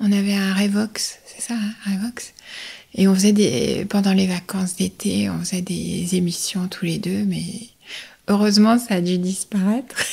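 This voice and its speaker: Somewhat breathy, a woman whispers at a fairly slow pace. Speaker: voice-over artist. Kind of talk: interview. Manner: playful; hesitant.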